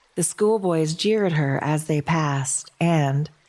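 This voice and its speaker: A woman speaks at a very slow pace with a gentle, calm tone and a fairly low pitch. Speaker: podcast host and narrator. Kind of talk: poetry reading as sleep story.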